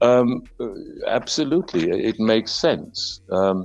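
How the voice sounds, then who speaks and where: A man with a British accent speaks at a medium pitch with lively intonation. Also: quiet background. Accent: British-sounding. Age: 50s. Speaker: actor. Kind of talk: interview. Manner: hesitant, many fillers.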